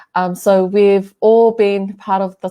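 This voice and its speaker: A woman speaks at medium pitch and a fairly slow pace, her tone dark and mellow. The recording is very clean, with a silent background. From New Zealand, South Auckland. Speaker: youth worker. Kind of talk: casual chat.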